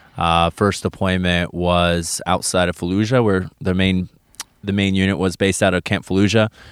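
In a flat monotone, a man speaks at a very deep, low pitch, with a dry, close sound and no echo. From Kansas, US Midwest. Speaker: war veteran, former navy medic. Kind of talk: interview, personal story. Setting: outdoors, in a forest campground.

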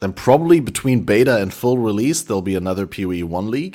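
A man with a German accent talks at a fairly quick pace and a fairly low pitch. His tone is dark and mellow, his intonation lively. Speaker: podcast host. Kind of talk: casual chat.

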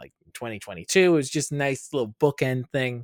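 In a plain, everyday voice, a man talks at a fairly quick pace with ordinary pitch variation, recorded very cleanly with a silent background and a dry, close sound free of echo. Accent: American. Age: 30s. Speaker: podcast host. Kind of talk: casual chat.

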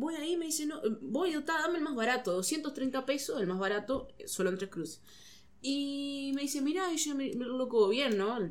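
High pitch from a woman, moderate in pace, her pitch leaping very widely up and down. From Uruguay, Rocha. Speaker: comedian. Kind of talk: casual chat.

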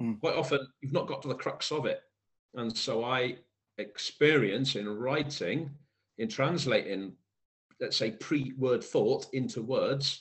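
Fairly slow speech from a man with a slight Welsh accent, full of long, frequent pauses. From South Wales. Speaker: poet. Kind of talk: interview chat.

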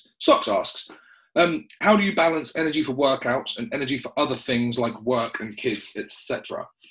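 Speaking in a southern English accent, a man keeps to a moderate pace. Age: 30s. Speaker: personal trainer and podcast host. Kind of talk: casual chat.

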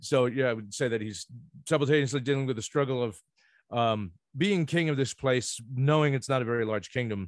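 With an American accent, a man in a plain, everyday voice speaks fairly quickly at a medium pitch with ordinary pitch variation. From New Jersey (Ocean Township). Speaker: law student. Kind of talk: casual chat.

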